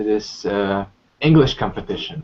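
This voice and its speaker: Here a man with a Polish accent speaks at a medium pitch. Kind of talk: testimony. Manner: halting.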